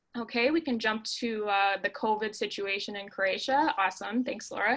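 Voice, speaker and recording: A woman with an American accent and an ordinary speaking voice, fairly high in pitch with ordinary pitch variation, at a moderate pace on a very clean recording with a silent background. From Minnesota, US Midwest. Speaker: local travel expert. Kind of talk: informational presentation.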